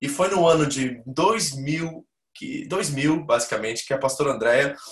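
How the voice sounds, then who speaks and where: A man speaks in a plain, everyday voice. It sits fairly high in pitch, with lively intonation. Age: 40s. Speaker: pastor. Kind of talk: church membership class with personal testimony. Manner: informal, conversational.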